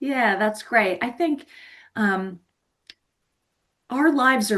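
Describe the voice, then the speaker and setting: A woman speaks in a plain, everyday voice with an American accent, using ordinary pitch variation at a fairly slow pace over a quiet background. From US Northeast, New Jersey. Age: 50s. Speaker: life coach. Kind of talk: podcast interview.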